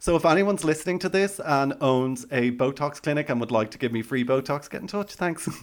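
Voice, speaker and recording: A man with an Irish accent at a fairly high pitch, fairly quick and with hardly any pauses, ordinary pitch variation, noticeable background noise. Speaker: podcast host. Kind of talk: casual chat.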